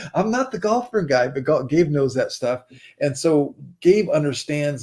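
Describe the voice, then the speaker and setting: A man's somewhat breathy speech, its pitch varying in an ordinary way. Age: 60s. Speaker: investment and digital marketing partner. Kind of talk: sales pitch. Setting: livestream.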